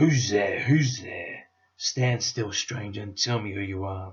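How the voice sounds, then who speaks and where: A man puts on a raspy, growling character voice. He speaks at a medium pitch and a fairly slow pace. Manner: menacing, demanding.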